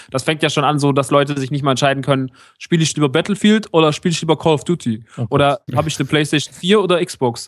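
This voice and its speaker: Dry and close with no echo, a man's fairly high voice races at a very fast pace with ordinary pitch variation. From Germany, rural area. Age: 30s. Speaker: podcaster. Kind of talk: casual chat. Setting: remote call.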